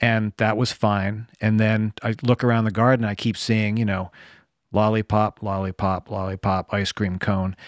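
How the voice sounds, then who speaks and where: Monotone and flat, a man with a fairly low pitch speaks at a moderate pace in an American accent, in a very clean recording with a silent background and a dry, close sound with no echo. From US Northeast, New Jersey. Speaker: bonsai artist and musician. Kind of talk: casual chat.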